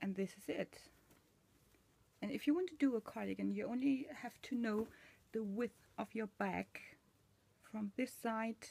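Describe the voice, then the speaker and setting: This woman talks at a fairly slow pace, her voice fairly high and somewhat breathy, with ordinary pitch variation. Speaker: machine knitting tutor. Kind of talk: tutorial. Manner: hesitant, many fillers.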